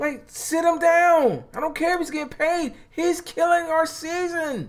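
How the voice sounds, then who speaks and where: Shouting at a moderate pace, a man uses a squeaky, put-on character voice pitched extremely high. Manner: yelling passionately.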